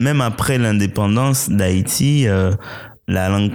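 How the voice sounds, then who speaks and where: A man with a Haitian accent speaks at a fairly low pitch with fairly even intonation in a very clean recording with a silent background. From Haiti, rural village then Port-au-Prince. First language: Haitian Creole (speaking French). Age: young. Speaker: playwright and poet. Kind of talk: interview.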